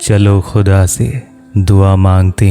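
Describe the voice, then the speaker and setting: With music playing behind him, a man speaks in a very deep, low pitch and a monotone, flat intonation. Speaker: translator and reciter of mystical poetry. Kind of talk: poetry reading with commentary.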